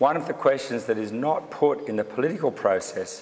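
The pace of this man's speech is moderate. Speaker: speaker. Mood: dry humour. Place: hall. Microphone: podium.

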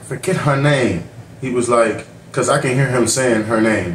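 The man talks at a moderate pace with ordinary pitch variation. Audible room echo and light background noise surround him. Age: 40s. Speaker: YouTube reaction channel host. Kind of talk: reaction commentary. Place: home room. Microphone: webcam.

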